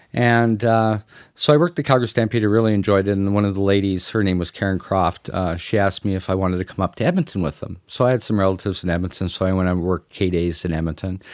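Speaking very fast with a Canadian accent, a man uses a fairly low pitch and fairly even intonation on a very clean recording with a silent background. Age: 50s. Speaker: fair midway executive. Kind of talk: interview storytelling.

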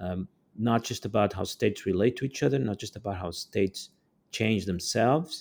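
A man with a Portuguese accent speaks in a dark, mellow tone with lively intonation. The recording is very clean, with a silent background. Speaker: author and geopolitical theorist. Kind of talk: interview. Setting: podcast recording.

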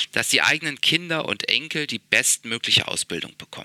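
Dry and close with no echo, a man's bright, sharp tone carries vocal fry at a moderate pace. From Berlin, Germany. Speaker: investor and founder. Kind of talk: interview. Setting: office in a palace, remote call.

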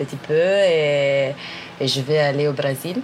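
Music plays in the background. A woman speaks with a very deep, low pitch. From northern Italy. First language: Italian (speaking French). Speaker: anthropologist and aid worker. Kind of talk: interview about her life. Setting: hostel in a Brazilian village. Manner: hesitant, many fillers.

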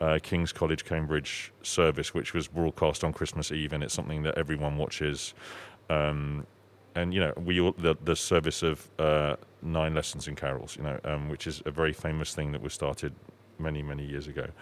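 In a southern English accent, a man with a very deep, low voice speaks in a flat monotone at a moderate pace. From southern England (Sussex). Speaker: opera singer (bass). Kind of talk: interview. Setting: in person, under a Christmas tree. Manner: hesitant, many fillers.

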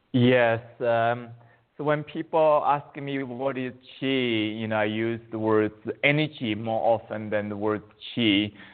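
A man speaks with a Chinese accent and fairly even intonation. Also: medium pitch for a man, fairly slow pace. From China. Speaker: qigong teacher. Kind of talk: interview.

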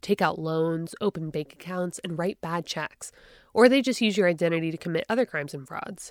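An ordinary speaking voice from a woman, fairly low in pitch, with ordinary pitch variation and a fairly quick pace, in a very clean recording with a silent background and a dry, close sound with no echo. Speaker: podcast host. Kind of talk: scripted narration.

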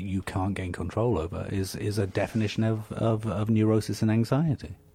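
A somewhat breathy man with a dark, mellow tone, fairly low pitch and moderate pace. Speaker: radio co-host. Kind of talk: casual chat.

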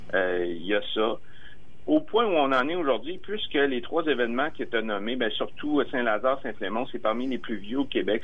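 Audible room echo surrounds a man speaking at a moderate pace, medium in pitch, with lively intonation. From Quebec, Bellechasse region (Armagh). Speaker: documentary filmmaker. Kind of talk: interview. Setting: phone call.

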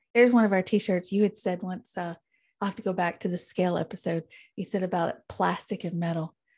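A plain, everyday voice moves along at a fairly quick pace, its intonation fairly even. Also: woman, medium pitch for a woman. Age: 40s. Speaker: podcast co-host. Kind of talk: casual chat.

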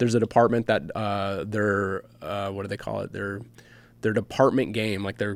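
A plain, everyday voice from a man with an American accent, fairly low in pitch, at a fairly quick pace. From US Midwest, Michigan. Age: 40s. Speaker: firefighter. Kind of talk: interview.

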